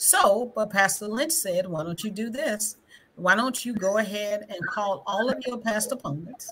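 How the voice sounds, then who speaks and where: With a Southern US accent, a woman speaks at a fairly slow pace with lively intonation over light background noise. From Greenwood, Mississippi; Mississippi. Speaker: school board candidate; guest, candidate. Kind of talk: livestream panel discussion. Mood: earnest, personal. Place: home room.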